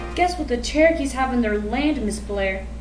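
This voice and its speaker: A put-on character voice with slight echo and loud background noise. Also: female-sounding voice, moderate pace. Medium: stage play. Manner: sly, chattering.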